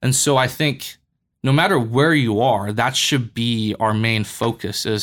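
In a very clean recording with a silent background, a man with an American accent and a medium pitch speaks at a moderate pace with ordinary pitch variation, a plain, everyday voice. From US West, Boulder, Colorado. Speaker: church worker. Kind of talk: casual chat.

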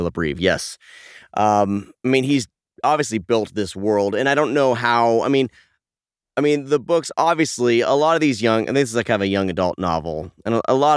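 Recorded very clean with a silent background and a dry, close sound with no echo, a man at medium pitch speaks at a moderate pace with lively intonation in an unremarkable speaking voice. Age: 40s. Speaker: podcast host. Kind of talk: casual chat.

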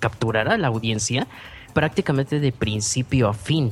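Music behind a man talking at a moderate pace. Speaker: podcaster and filmmaker. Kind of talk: interview. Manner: clear diction; animated.

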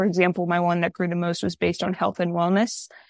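Her pitch sits in the middle range for a woman. The background is quiet, and the sound is dry and close with no echo. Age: 20s. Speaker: content creator. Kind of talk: casual chat.

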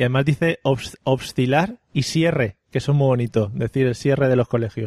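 A man with a medium-pitched, somewhat breathy voice in an animated tone, at a moderate pace with ordinary pitch variation and very even loudness, dry and close with no echo. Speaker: podcast host. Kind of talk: casual comedic chat. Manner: animated, joking.

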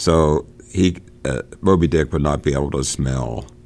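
A man speaks with vocal fry. His pitch is very deep and low. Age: 60s. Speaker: podcast host. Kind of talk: casual discussion of a book. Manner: informal, halting, chatty.

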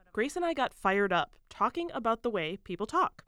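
A woman with an American accent, a fairly high pitch and very wide pitch swings, on a very clean recording with a silent background. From US Midwest. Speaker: radio reporter. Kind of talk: radio feature. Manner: laughs often.

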